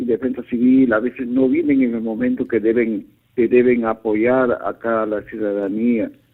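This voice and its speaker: A man's plain, everyday voice at medium pitch, fairly slow in pace, with fairly even intonation. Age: 60s. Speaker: caller. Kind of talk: call-in complaint. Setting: phone call.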